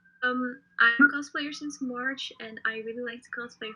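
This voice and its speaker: With music in the background, a woman speaks at a moderate pace. Her voice is high and her intonation fairly even. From Netherlands. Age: 20s. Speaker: cosplayer. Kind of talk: casual chat.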